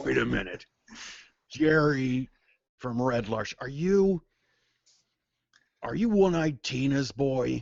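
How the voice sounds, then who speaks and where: A man in a put-on character voice speaks at a fairly slow pace with lively intonation and long, frequent pauses. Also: medium pitch for a man. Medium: actual play. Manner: blunt, suspicious.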